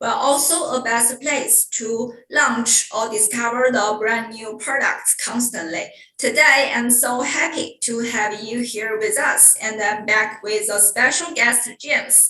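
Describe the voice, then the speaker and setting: A woman with a Chinese accent and a fairly high pitch talks at a fairly slow pace with fairly even intonation and hardly any pauses. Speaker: webinar host. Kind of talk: hosted online talk introduction. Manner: halting.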